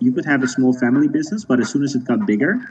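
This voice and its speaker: Over light background noise, this voice races along at a very fast pace with lively intonation. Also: man. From Netherlands. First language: Dutch. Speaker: sociologist; guest. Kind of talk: interview. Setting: video call. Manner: halting. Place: home room. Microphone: video call.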